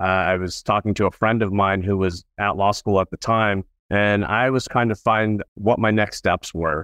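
Using a plain, everyday voice, a man with an American accent talks at a moderate pace and a fairly low pitch, in a dry, close recording with no echo and a quiet background. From Southern California. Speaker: estate planning attorney. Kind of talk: interview.

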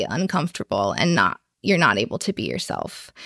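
A woman's fairly low voice with vocal fry at a moderate pace, dry and close with no echo. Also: very clean recording, silent background. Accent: American. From US Midwest, Chicago. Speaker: small business owner, designer and illustrator. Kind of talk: interview.

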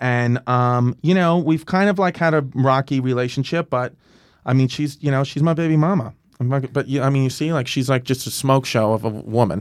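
With an American accent, a man speaks in an ordinary speaking voice at medium pitch and moderate pace, with ordinary pitch variation, on a very clean recording with a silent background. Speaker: comedian. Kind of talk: casual chat. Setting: studio.

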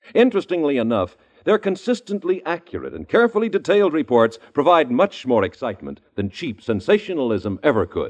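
With vocal fry and very wide pitch swings, a man talks fairly quickly at a fairly high pitch, with hardly any pauses. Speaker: radio announcer. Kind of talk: old-time radio drama announcement, commercial. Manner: formal, polished, bright.

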